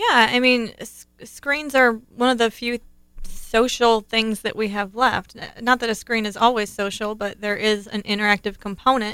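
A woman with a bright, sharp tone and a fairly high pitch talks at a moderate pace, her intonation fairly even. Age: 30s. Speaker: podcast co-host and mother. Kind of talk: casual chat.

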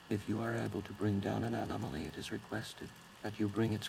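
Using an unremarkable speaking voice, a man talks at a fairly quick pace with a fairly low pitch and fairly even intonation. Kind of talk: formal emergency newsreading. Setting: in-fiction emergency broadcast. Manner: stern, official, measured.

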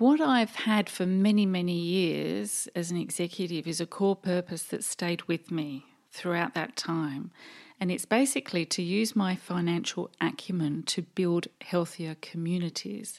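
With an English accent, a woman speaks at a fairly low pitch and a fairly slow pace. The recording is very clean, with a silent background. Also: lively intonation. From England. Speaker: board director and accountant. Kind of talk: interview answers.

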